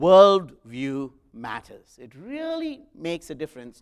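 Recorded very cleanly against a silent background, a man with an Indian accent speaks with lively intonation. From South India. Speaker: guest preacher and professor. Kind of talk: sermon. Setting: church.

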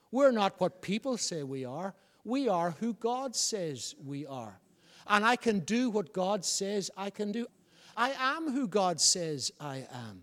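A high-pitched man's voice in a Northern Irish accent, at a very slow pace with very wide pitch swings. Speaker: pastor. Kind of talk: sermon; New Year sermon at a rising pitch, exhorting the congregation. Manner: emphatic, building repetitive cadence.

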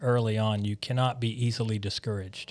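A man with a Mississippi accent talks at a moderate pace in a very clean recording with a silent background. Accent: Southern US (Mississippi). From US South, Biloxi, Mississippi. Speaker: church planting intern, military veteran. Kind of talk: interview, personal testimony.

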